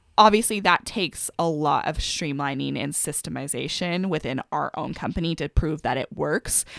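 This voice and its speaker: A woman with an American accent, very deep and low pitch, vocal fry, ordinary pitch variation and a moderate pace, in a dry, close sound with no echo. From US Pacific Northwest, Bellingham, Washington. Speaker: small business owner. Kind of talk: casual interview chat.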